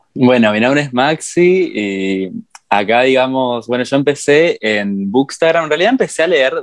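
The speaker has a Rioplatense accent. The pace is fairly slow. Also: man. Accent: Argentine Rioplatense Spanish. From Argentina, Entre Ríos. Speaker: novelist and book content creator. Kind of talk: interview.

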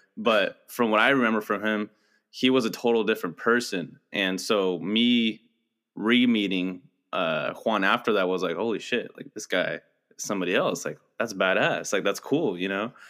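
A man speaks with a plain, everyday voice at a fairly low pitch, a moderate pace and ordinary pitch variation. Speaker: podcast co-host. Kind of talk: casual chat.

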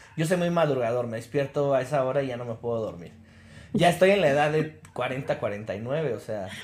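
A man speaks in a normal speaking voice at a moderate pace. His pitch is fairly high and his intonation is lively. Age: 40s. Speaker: podcast co-host. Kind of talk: casual chat.

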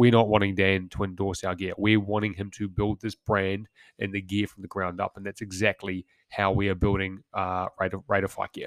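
A man with a New Zealand accent and a fairly low pitch speaks at a fairly quick pace in a flat monotone, recorded very cleanly with a silent background and a dry, close sound with no echo. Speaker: former commando turned business founder. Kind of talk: solo podcast monologue. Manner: casual, with frequent fillers.

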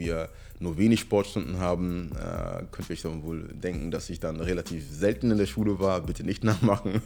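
The speech goes at a moderate pace with music in the background. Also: man. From northern Germany, near Hamburg. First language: Ewe (speaking German). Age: 30s. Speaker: personal trainer and YouTuber. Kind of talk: casual solo monologue. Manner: hesitant, many filler sounds.

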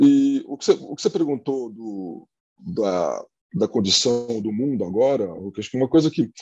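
A plain, everyday voice at a moderate pace, with lively intonation and big swings in loudness. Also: man, medium pitch for a man. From Brazil, Santos (São Paulo coast). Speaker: place branding consultant. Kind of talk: casual chat.

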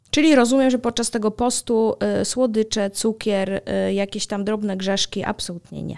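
A woman with a normal speaking voice talks at a moderate pace, her fairly high pitch held in fairly even intonation. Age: 30s. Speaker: podcast host. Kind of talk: casual chat.

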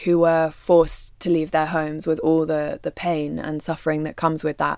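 In a London accent, a woman speaks with monotone, flat intonation and a fairly low pitch on a very clean recording with a silent background. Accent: southern English (London). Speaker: documentary photographer and filmmaker. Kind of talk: interview conversation.

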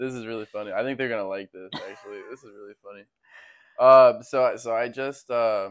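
A man speaks at a very fast pace and medium pitch. The background is quiet. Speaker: rapper. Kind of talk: casual chat.

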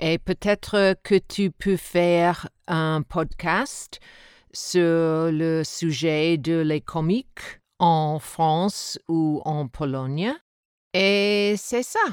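A woman with an English accent, fairly low in pitch with ordinary variation, at a very slow pace, on a very clean recording with a silent background and a dry, close sound with no echo. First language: English (speaking French). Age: 60s. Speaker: podcast listener, French learner. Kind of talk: recorded listener testimony.

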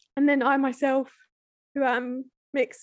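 In a British accent, a woman speaks with a high pitch. Her pace is moderate, and the background is quiet. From UK. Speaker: podcast guest. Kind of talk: casual chat.

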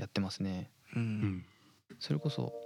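A slight Kansai accent comes through at a moderate pace with ordinary pitch variation. The sound is dry and close, with no echo. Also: man. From Osaka, Fujiidera. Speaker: anime producer. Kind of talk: casual chat.

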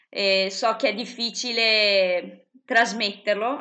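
A woman with a medium-pitched voice speaks in a flat monotone, her tone bright and sharp. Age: 20s. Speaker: psychology student and YouTuber. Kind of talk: interview.

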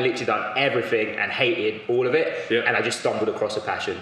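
A man is speaking. Room echo is audible, and there is noticeable background noise. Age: 20s. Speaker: strength and conditioning coach. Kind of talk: casual chat.

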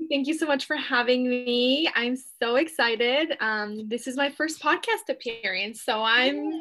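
A woman's high-pitched voice with a bright, sharp tone, ordinary pitch variation and a moderate pace. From Mexico, raised in San Diego, California. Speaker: TikTok coach. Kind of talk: casual interview. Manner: animated, many fillers.

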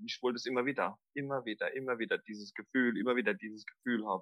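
A man with a slight Mannheim accent, medium in pitch with ordinary pitch variation, in a dry, close sound with no echo on a very clean recording with a silent background. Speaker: extreme trail runner and former heroin addict. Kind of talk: personal interview testimony. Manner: halting, many fillers.

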